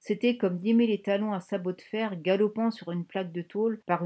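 Someone is reading aloud in a natural voice.

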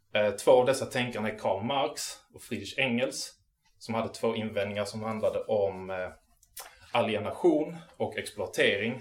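The man's volume rises and drops sharply. His pace stays moderate. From southern Sweden, Malmö area. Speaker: activist lecturer. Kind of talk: lecture. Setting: local venue with live audience. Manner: halting.

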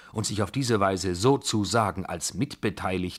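The clip features a natural reading voice.

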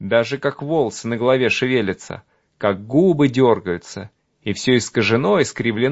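A natural reading voice, its pitch varying in an ordinary way, is heard over a quiet background.

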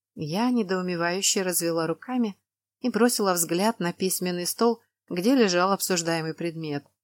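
The background stays quiet. A natural reading voice moves with ordinary pitch variation.

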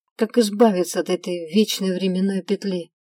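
In a natural reading voice, the intonation stays fairly even throughout.

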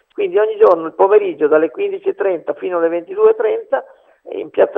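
Lively intonation runs through this man's speech, along with vocal fry.

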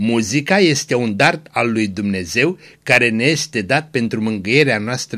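The speaker uses an unforced reading voice. The reading sounds unforced throughout.

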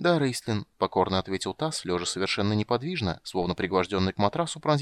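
The reading voice is unforced. Its intonation is lively.

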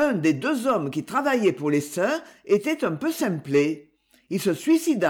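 Over quiet surroundings, text gets read aloud plainly.

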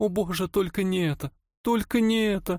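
A man's raspy, put-on character voice, high pitched, at a moderate pace, in a very clean recording with a silent background and a dry, close sound with no echo. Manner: despairing.

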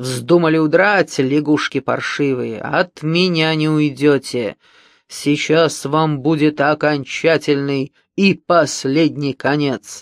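Putting on a character voice, a man talks at a fairly slow pace in a fairly high pitch against a quiet background. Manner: yelling, gloating, menacing.

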